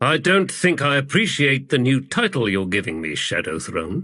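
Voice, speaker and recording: A man's put-on character voice, medium pitch with very wide pitch swings, at a moderate pace. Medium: read story. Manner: giggling, playful.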